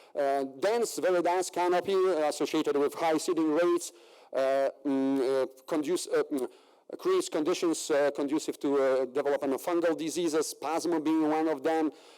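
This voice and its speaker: A man with a Polish accent speaks at a moderate pace and a fairly high pitch in a dark, mellow tone. His loudness is very even and his intonation fairly even. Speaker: agricultural researcher. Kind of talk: conference presentation. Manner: halting, many fillers.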